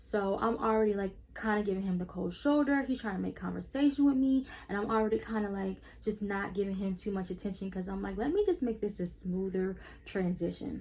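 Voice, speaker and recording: Somewhat breathy female voice, dark and mellow, its pitch varying in an ordinary way. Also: medium pitch for a woman, fairly quick pace. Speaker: YouTuber. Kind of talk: storytime vlog. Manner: casual, filler-heavy; stuttering at times.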